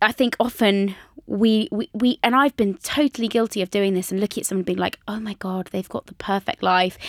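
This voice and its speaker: A woman with a British accent speaks at a fairly quick pace in a medium pitch, her loudness swinging widely in a dry, close recording with no echo. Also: ordinary pitch variation. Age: 20s. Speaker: personal trainer and author. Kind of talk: casual chat. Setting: studio.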